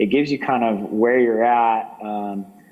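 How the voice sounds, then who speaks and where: Against noticeable background noise, a man talks at a moderate pace in a fairly low pitch with fairly even intonation. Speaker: village economic development staff. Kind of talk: presentation at a planning workshop.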